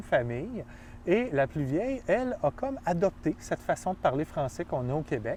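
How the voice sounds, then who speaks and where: With a Quebec accent, a man speaks at a high pitch and a moderate pace, his voice making very wide pitch swings. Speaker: film professor. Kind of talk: interview conversation.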